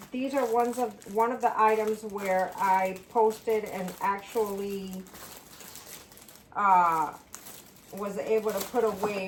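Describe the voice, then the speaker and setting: A woman speaks with fairly even intonation. Noticeable background noise is present. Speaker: part-time reseller and single parent. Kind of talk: casual vlog chat while packing orders. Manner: loud.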